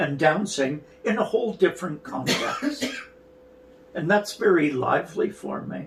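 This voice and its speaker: With a Canadian accent, a man speaks fairly slowly in a high pitch, swinging very widely in pitch against noticeable background noise. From Canada, rural Alberta. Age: 60s. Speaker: dance artistic director and choreographer. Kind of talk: interview.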